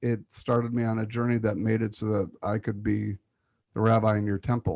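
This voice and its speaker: A man in an American accent uses a normal speaking voice at medium pitch and a moderate pace. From Michigan, Detroit. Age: 50s. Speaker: rabbi. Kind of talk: tribute speech; moderated community Q&A. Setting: video call.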